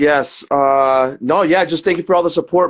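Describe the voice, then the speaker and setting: A man with an American accent talks at a moderate pace, his pitch fairly high with ordinary variation. It is an unremarkable speaking voice. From Brooklyn, New York. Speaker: podcast co-host. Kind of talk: casual chat. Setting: livestream on phone.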